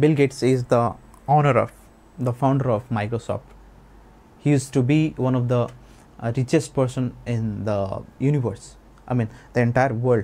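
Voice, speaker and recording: A man's medium-pitched voice, dark and mellow in tone, with monotone, flat intonation, a moderate pace and long, frequent pauses. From rural India, village farming family. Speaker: spoken English and personality development teacher; personality development teacher. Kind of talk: tutorial. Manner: halting, with filler sounds. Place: studio. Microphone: lapel.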